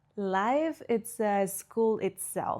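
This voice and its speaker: A woman speaks at a very slow pace with ordinary pitch variation, on a very clean recording with a silent background. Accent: Spanish. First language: Spanish. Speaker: podcast host, spiritual coach. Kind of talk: casual podcast monologue.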